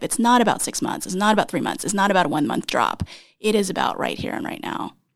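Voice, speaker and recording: With an American accent, a woman speaks in a fairly high voice marked by vocal fry. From Texas. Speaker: startup CEO. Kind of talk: interview.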